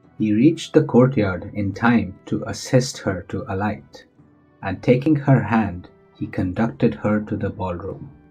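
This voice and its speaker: A man's medium-pitched voice, lively in intonation and fairly slow in pace, with music playing behind it. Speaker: voice-over narrator. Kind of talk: children's bedtime story narration.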